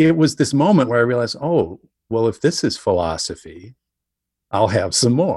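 A man with an Upper Midwest accent speaks at a moderate pace, leaving long, frequent pauses. His medium pitch makes very wide swings while his loudness stays very even. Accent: Upper Midwest American. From northern Wisconsin. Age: 50s. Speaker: writer. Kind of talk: casual chat. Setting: remote interview from home.

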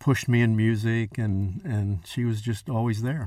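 A man talks in a normal speaking voice at a fairly slow pace with fairly even intonation, in a very clean recording with a silent background. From Texas. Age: 60s. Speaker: chef. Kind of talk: casual chat.

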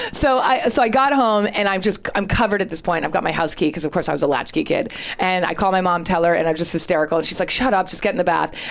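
Over noticeable background noise, a woman at medium pitch races along very fast with hardly any pauses and lively intonation. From Northern California, later Boston. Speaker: writer. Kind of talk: casual chat, storytelling.

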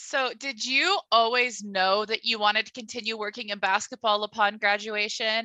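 A woman with an American accent and a normal speaking voice talks at a moderate pace in a fairly high pitch, with fairly even intonation, hardly any pauses and big swings in loudness. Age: 20s. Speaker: podcast host. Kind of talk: casual interview.

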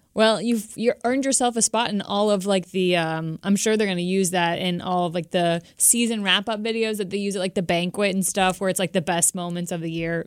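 With an American accent and an unremarkable speaking voice, a woman of medium pitch talks at a fairly quick pace with hardly any pauses. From Florida. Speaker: podcast co-host. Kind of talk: casual chat.

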